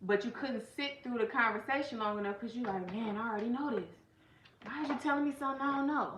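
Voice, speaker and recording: A woman talks loudly and very fast in a high-pitched, animated voice with ordinary pitch variation, with noticeable background noise and audible room echo. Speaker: life coach and channel host. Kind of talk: casual livestream talk.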